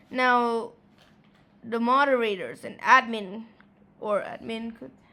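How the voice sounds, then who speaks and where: Very slowly, a woman speaks with a bright, sharp tone and fairly even intonation. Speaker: gaming YouTuber. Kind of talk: commentary vlog. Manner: halting.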